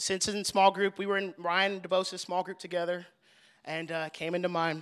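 In a very clean recording with a silent background, a man with an American accent uses a raised, projected voice, high in pitch and bright and sharp in tone, at a moderate pace. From Texas, Fort Worth. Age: 20s. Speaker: young adult ministry leader. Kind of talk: testimony. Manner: animated.

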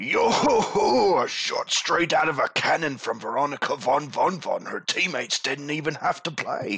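A raspy man uses a put-on character voice at a moderate pace, with hardly any pauses. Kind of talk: pirate-like sailor talk. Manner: hearty, jovial.

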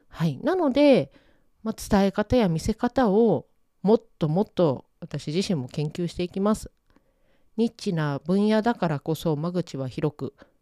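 Her dark, mellow tone sits at medium pitch as a woman talks at a fairly slow pace with very wide pitch swings, in a very clean recording with a silent background and a dry, close sound with no echo. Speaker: podcast host, yuzu pepper researcher. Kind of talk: solo podcast monologue. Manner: many fillers and pauses.

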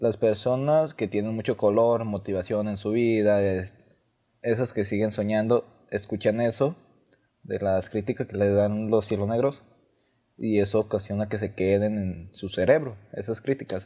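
A man's fairly low, dark and mellow voice with fairly even intonation, in a very clean recording over a silent background. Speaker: university student. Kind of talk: student speech. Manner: halting.

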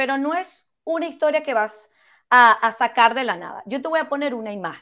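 On a very clean recording with a silent background, a woman with a high pitch projects a raised voice in a bright, sharp tone, using lively intonation and big swings in loudness at a moderate pace. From Venezuela. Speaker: podcast host, brand strategist. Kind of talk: interview podcast. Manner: animated.

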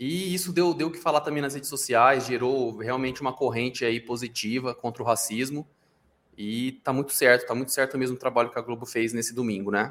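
Here a man talks at a fairly quick pace in a plain, everyday voice. His pitch is medium, with ordinary pitch variation. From Brazil. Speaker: TV news podcast co-host. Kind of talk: casual chat. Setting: live stream.

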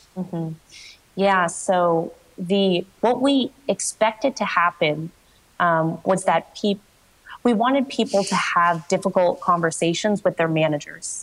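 This is an unremarkable speaking voice at a fairly slow pace. Its pitch varies in an ordinary way. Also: woman, medium pitch for a woman. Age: 20s. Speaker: startup founder and CEO. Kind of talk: coaching conversation.

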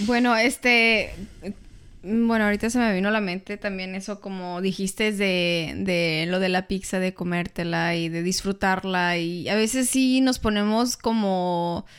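With a normal speaking voice, a woman talks at medium pitch and a fairly slow pace, her intonation fairly even. The recording is very clean with a silent background. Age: 30s. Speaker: podcast co-host. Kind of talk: casual chat.

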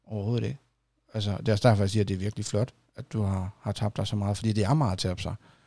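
Over a silent background in a very clean recording, a man speaks very fast in a dark, mellow, somewhat breathy tone. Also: fairly low pitch for a man, fairly even intonation. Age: 30s. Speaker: podcast host. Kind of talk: casual interview.

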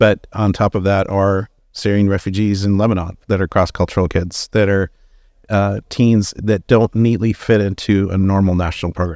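A man with a fairly low pitch and monotone, flat intonation talks at a moderate pace, the sound dry and close with no echo on a very clean recording with a silent background. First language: German. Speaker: youth ministry worker. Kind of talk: live stream interview. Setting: live stream at conference, headphones and microphones.

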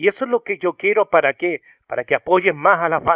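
A raised, projected voice with a bright, sharp tone and lively intonation sounds dry and close with no echo against a quiet background. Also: man. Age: 40s. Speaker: rock music video channel host. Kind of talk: interview. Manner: halting.

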